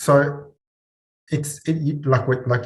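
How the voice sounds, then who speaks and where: A somewhat breathy man with a non-native accent, on a very clean recording with a silent background. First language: not English. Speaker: mental health practitioner. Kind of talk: casual chat.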